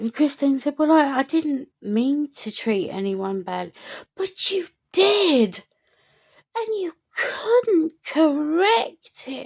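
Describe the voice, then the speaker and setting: In a British accent, the voice moves at a very slow pace through very wide pitch swings. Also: woman, high pitch for a woman. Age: middle-aged. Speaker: commentary vlogger. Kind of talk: opinion rant to camera.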